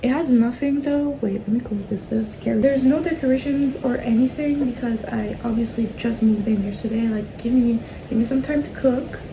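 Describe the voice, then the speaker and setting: The speaker moves at a fairly quick pace with hardly any pauses and ordinary pitch variation. Noticeable background noise runs under the voice. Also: woman, high pitch for a woman. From Madagascar. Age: young. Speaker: fashion design student. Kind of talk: casual talk to camera. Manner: casual, chatty.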